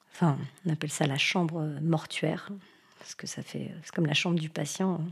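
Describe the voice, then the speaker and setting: Fairly low in pitch, a woman speaks in a somewhat breathy, monotone, flat way. The recording is very clean with a silent background. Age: 40s. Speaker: nurse. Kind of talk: testimony. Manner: hesitant, many fillers.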